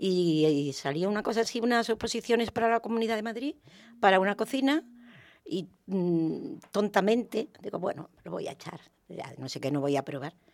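Very wide pitch swings at a moderate pace on a very clean recording with a silent background. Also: woman, medium pitch for a woman. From Valdepeñas, Ciudad Real, Spain. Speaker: neighborhood women's group member. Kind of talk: radio roundtable discussion. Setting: radio studio.

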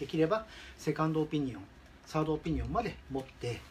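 Noticeable background noise can be heard. Through it comes a man's voice. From Shizuoka, Japan. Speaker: dog product business owner. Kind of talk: advice monologue. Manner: halting.

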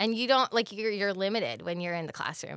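With an American accent, a woman uses lively intonation and vocal fry on a very clean recording with a silent background. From Pennsylvania, US. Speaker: cheerleading coach and history teacher. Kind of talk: casual interview chat.

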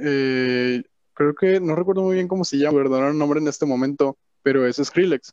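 Recorded with a dry, close sound and no echo, a man with a northern Mexican accent speaks at a fairly high pitch with ordinary pitch variation. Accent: northern Mexican (regio) Spanish. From Monterrey, Mexico. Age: young. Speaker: music producer. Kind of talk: casual chat.

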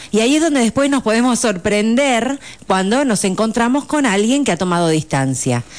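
Very wide pitch swings in a woman's fairly high voice, moderate in pace. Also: very even loudness. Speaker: psychologist. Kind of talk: radio interview.

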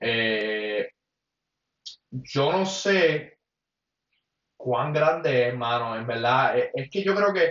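A man with a Puerto Rican accent and a fairly high pitch speaks at a very slow pace, with long, frequent pauses. His intonation is lively. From Puerto Rico, Mayagüez. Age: 20s. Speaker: former basketball player, podcast co-host. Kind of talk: casual chat. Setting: home apartment, livestream.

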